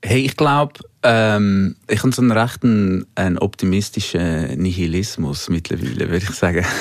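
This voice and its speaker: A man speaks in a plain, everyday voice, pitched fairly low. His intonation is lively and his pace moderate. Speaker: singer-songwriter. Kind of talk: casual interview. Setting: studio.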